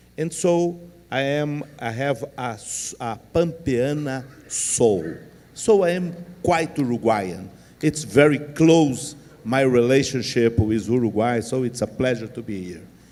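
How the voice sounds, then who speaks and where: With a Portuguese accent, a man speaks using lively intonation. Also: medium pitch for a man, fairly slow pace, big swings in loudness. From southern Brazil, Rio Grande do Sul. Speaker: panel moderator. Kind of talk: closing remarks.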